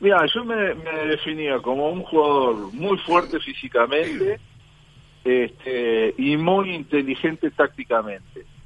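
A man speaks at a very slow pace and a fairly high pitch, with very wide pitch swings. Noticeable background noise runs underneath. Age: 50s. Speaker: former footballer and football coach. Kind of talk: radio interview. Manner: halting, many fillers and repetitions.

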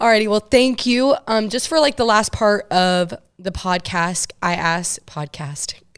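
With an ordinary speaking voice, a woman talks at a fairly slow pace in a fairly high pitch, her intonation lively. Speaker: podcast host and student athlete. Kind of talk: casual interview. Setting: studio.

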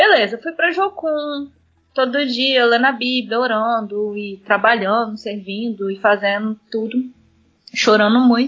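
This is a plain, everyday voice. A woman speaks at a fairly slow pace and fairly high pitch, with ordinary pitch variation. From Brazil, Espírito Santo (Vila Velha). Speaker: missionary. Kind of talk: interview testimony.

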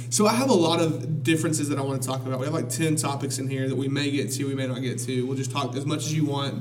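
Delivered at a very fast pace with hardly any pauses, the speech has fairly even intonation and an American accent over noticeable background noise. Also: man. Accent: Alabama accent, getting stronger. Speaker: podcast host. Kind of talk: casual chat. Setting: studio.

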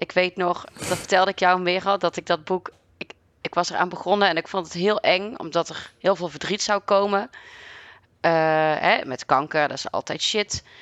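A woman at a moderate pace, medium in pitch with fairly even intonation, in an unremarkable speaking voice. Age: 30s. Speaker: librarian. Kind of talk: casual conversation.

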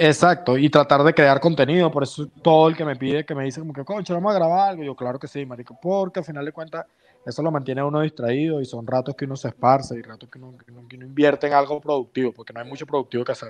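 A man with a Venezuelan accent talks at a very fast pace with hardly any pauses, his pitch fairly high and ordinary in its variation. The sound is dry and close, with no echo. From Venezuela (San Juan, grew up around Valencia). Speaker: comedian. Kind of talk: casual chat. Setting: video call. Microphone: unstable connection, video freezes.

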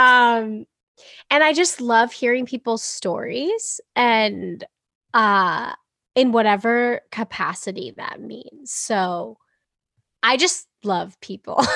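A woman with an American accent speaks at a very slow pace with a fairly high pitch, a bright, sharp tone, ordinary pitch variation, and big swings in loudness. The recording is very clean and dry, with a close sound, no echo, and a silent background. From US Northeast (Boston). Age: 20s. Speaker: singer-songwriter. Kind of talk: interview.

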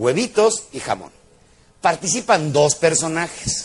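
Lively intonation and an animated tone mark this man's speech. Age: old. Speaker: motivational speaker. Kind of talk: motivational lecture.

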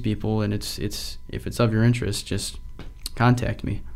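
Talking at a fairly quick pace, a man uses a medium pitch. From Rochester area, New York. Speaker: college student. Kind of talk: casual interview.

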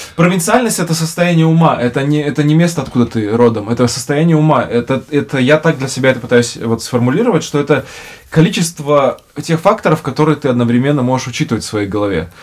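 A man with a fairly high pitch, lively intonation and a very fast pace. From Russia (born in Bishkek, moved at age 3.5). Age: 30s. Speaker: podcast host. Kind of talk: casual chat. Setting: studio.

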